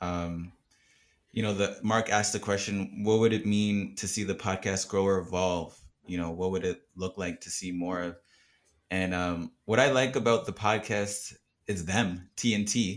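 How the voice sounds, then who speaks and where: Fairly slow speech from a man with a fairly low pitch and a plain, everyday voice, in a very clean recording over a silent background. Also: fairly even intonation. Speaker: new podcast team member. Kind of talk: casual chat.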